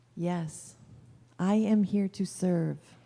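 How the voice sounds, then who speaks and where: With fairly even intonation, a woman speaks in an unremarkable speaking voice at a fairly low pitch. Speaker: minister at a Unity church. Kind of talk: sermon at a Sunday church service.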